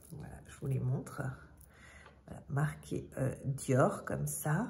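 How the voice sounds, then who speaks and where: A woman's voice has a dark, mellow tone and vocal fry, with audible room echo. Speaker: fashion vlogger. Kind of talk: casual product show-and-tell. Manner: hesitant, many fillers.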